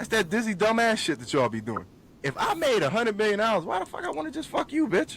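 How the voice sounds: This man has a high pitch and a fairly bright tone. He talks at a fast pace with big pitch swings.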